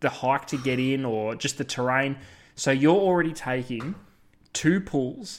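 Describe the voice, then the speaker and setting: A man talks at a fairly slow pace in an Australian accent, his pitch medium with ordinary variation. The recording is very clean, with a silent background. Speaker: fishing podcast co-host. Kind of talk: casual chat.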